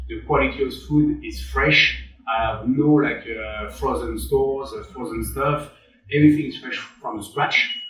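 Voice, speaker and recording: A man with a French accent speaks at a moderate pace, his loudness swinging widely, with noticeable background noise and audible room echo. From western France. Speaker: chef and restaurant owner. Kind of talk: interview. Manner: halting, many repeated words and fillers.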